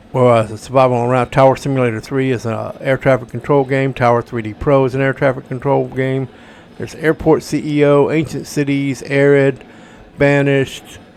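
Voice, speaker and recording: A man's medium-pitched, flat monotone at a fairly quick pace, with noticeable background noise. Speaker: gaming streamer. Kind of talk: gameplay commentary.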